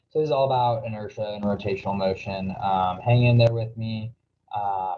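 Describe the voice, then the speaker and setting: A man's somewhat breathy voice. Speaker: physics tutor. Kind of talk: tutorial. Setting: screen recording. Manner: hesitant, many fillers.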